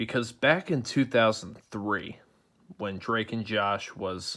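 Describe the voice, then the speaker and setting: Quiet and at a very slow pace, a man speaks with a fairly low pitch on a very clean recording with a silent background. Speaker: youtuber. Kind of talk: casual vlog commentary. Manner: quiet, keeping voice down; hesitant, many fillers.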